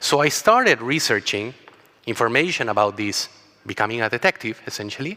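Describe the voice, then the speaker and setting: A man speaks fairly quickly with a Chilean accent. His medium pitch varies in an ordinary way. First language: Spanish. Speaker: travel company co-founder. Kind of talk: conference talk.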